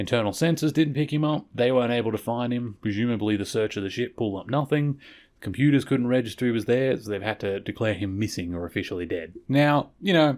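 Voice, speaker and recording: Words come at a very fast pace with hardly any pauses. The recording is very clean, with a silent background. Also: man, medium pitch for a man, lively intonation. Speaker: podcast host. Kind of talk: podcast episode review monologue. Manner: stumbles over words; casual conversational.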